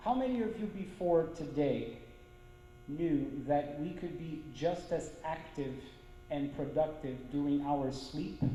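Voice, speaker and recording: With noticeable background noise behind him, a man with fairly high pitch and ordinary pitch variation speaks at a fairly slow pace, leaving long, frequent pauses. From Brazil. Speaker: violinist, conductor and orchestra manager. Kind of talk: spiritist lecture.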